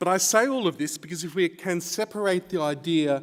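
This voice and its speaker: The man's voice is fairly high in pitch, varies in pitch in an ordinary way, and keeps a moderate pace. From Australia. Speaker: academic researcher. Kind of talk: conference lecture.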